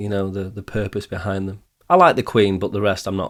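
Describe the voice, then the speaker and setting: A man with a Manchester accent at a fairly quick pace. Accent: Manchester, northern English. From Manchester, England.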